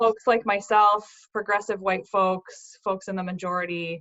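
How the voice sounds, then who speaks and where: A woman speaks at a moderate pace and medium pitch with fairly even intonation. Hers is a plain, everyday voice. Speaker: book editor. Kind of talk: interviewer questions.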